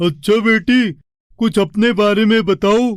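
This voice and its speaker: A man does a cartoonish character voice. His pitch is high. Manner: polite, formal.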